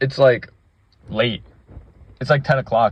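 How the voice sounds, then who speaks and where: The man's voice is somewhat breathy. He talks at a moderate pace. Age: 20s. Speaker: gaming vlogger. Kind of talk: casual monologue. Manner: halting.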